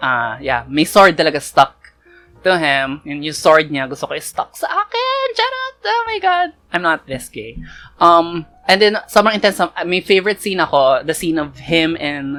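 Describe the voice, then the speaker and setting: A woman with a very deep, low pitch, ordinary pitch variation and a fairly slow pace. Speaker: K-drama reviewer. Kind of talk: casual talk to camera, review. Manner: code-switching Taglish.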